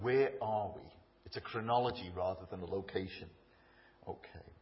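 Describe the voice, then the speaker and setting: Over noticeable background noise, a man with a Liverpool accent speaks at fairly low pitch with ordinary pitch variation. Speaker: speaker at a church event. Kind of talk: public talk, informal with jokes. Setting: stage.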